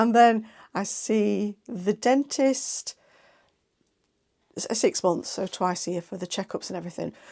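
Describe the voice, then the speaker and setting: In an English Midlands accent, a woman speaks at medium pitch with a dark, mellow tone, ordinary pitch variation and big swings in loudness, at a fairly slow pace with long, frequent pauses. The sound is dry and close with no echo, on a very clean recording with a silent background. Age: 50s. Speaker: sewing vlogger. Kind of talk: casual chat. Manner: chatty, hesitant with fillers.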